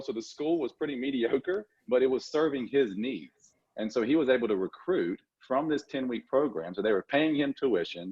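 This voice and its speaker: A man with a strong Southern accent at a medium pitch and a fairly quick pace. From Louisiana. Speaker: dental assisting school executive. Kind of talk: podcast interview. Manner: hesitant fillers.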